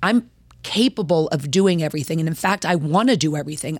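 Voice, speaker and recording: An unremarkable speaking voice from a woman with an American accent, fairly low in pitch, with lively intonation at a moderate pace. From Baltimore-Washington area, US. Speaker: professional wrestler. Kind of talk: casual chat.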